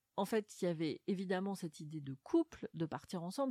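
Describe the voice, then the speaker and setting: A woman's dark, mellow tone, dry and close with no echo, with ordinary pitch variation. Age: 40s. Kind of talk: literary interview. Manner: halting, frequent word repetitions and fillers.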